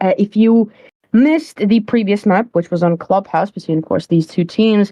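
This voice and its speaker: A woman's dark, mellow voice with a non-native accent, medium in pitch with ordinary variation, at a moderate pace and very even loudness, in a dry, close sound with no echo. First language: not English. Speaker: esports caster. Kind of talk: live commentary.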